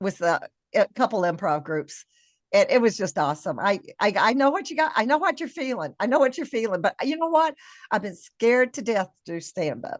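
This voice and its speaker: A woman speaks at a fairly quick pace with a fairly high pitch, very wide pitch swings and vocal fry. The sound is dry and close with no echo, against a quiet background. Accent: American. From Kentucky, US South. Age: 60s. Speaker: podcast host. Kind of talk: interview.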